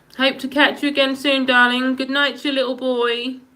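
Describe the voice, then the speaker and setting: A raised, projected voice with audible room echo. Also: woman. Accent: Norfolk. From England, Norfolk. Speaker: live streamer. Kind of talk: casual chat.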